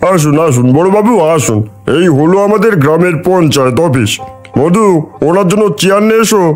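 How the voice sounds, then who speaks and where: A man performs a cartoonish character voice at a high pitch. He keeps a moderate pace over clear background music. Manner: deferential, earnest.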